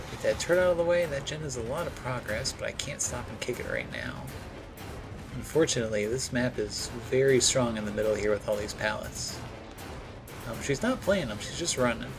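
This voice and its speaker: Music in the background behind a man at medium pitch, fairly quick, with lively intonation. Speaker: gaming video creator. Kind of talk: gameplay commentary.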